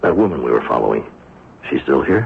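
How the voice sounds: In a put-on character voice with a husky, rough edge and vocal fry, the speaker moves at a fairly quick pace through big pitch swings. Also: man, extremely low pitch for a man.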